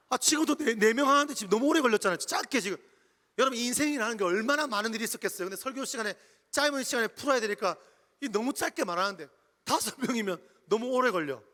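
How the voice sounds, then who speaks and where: A man's extremely high, bright, sharp voice, raised and projected, with lively intonation at a very fast pace. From Jeju Island, Korea. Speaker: pastor. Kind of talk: sermon. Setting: church retreat with audience.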